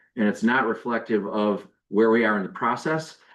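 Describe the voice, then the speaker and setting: A man at a medium pitch with fairly even intonation, against a quiet background. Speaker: township board member. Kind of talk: public meeting remarks. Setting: township board meeting. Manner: diplomatic, measured.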